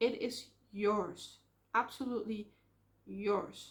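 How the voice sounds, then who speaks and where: This woman has a Dutch accent. Her pitch is fairly high and her intonation fairly even. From Netherlands. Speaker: vlogger. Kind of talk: casual vlog monologue. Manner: hesitant, with filler ums.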